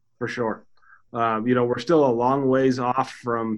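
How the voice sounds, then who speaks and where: A man speaks with an American accent at medium pitch and a moderate pace. It is an ordinary speaking voice. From Utah, near Salt Lake City. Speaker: chiropractor. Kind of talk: interview.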